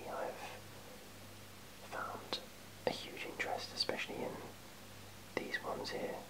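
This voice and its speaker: A man whispers at a moderate pace while noticeable noise fills the background. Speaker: ASMR creator. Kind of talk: ASMR show-and-tell of a collection. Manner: whispered; casual, hesitant, many fillers.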